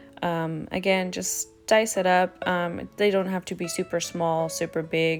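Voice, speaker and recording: Music plays in the background as a woman speaks. Her voice is fairly low and her pace fairly slow. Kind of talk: casual cooking talk to camera. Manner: casual, chatty, frequent fillers.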